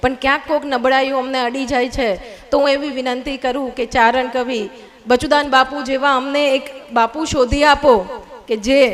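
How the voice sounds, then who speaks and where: A woman's high-pitched voice in a flat monotone, with noticeable background noise. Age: young. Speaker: social worker. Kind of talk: public speech. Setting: stage with audience. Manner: formal.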